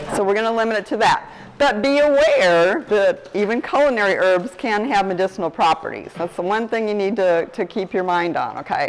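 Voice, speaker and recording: A woman with a medium-pitched voice talks at a fairly quick pace with hardly any pauses. There is noticeable background noise. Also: ordinary pitch variation. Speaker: guest speaker on herbs. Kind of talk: talk to a group. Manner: quiet; casual.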